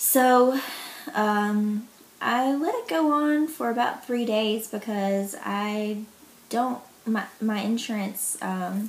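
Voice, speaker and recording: A woman with a Southern US accent talks at a very slow pace and a fairly high pitch. Her pitch variation is ordinary, and there is noticeable background noise. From US South, Mississippi. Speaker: vlogger sharing illness experience. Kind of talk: personal vlog testimony. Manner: casual, hesitant with many fillers.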